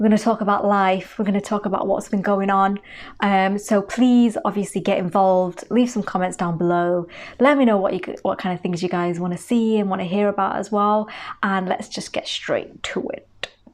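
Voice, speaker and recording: A woman at medium pitch with a Manchester accent, fairly even intonation and a moderate pace. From northern England, Manchester. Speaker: beauty vlogger. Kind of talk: casual chat.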